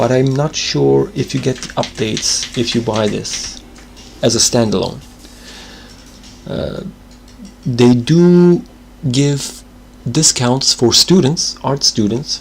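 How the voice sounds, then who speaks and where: A man's very slow, medium-pitched voice with a non-native accent, ordinary pitch variation, long and frequent pauses, and noticeable background noise. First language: not English. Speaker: animator streamer. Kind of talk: casual live stream chat while drawing.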